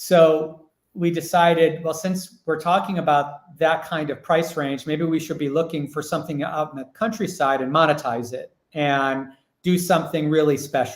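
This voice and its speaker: A man speaks at a moderate pace with fairly even intonation. His pitch is fairly high. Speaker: villa owner. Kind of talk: casual chat. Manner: loud.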